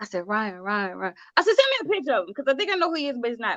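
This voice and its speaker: A woman's very fast, high-pitched, animated voice with very wide pitch swings and a dry, close sound with no echo. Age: 40s. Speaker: talk show host. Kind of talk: casual chat.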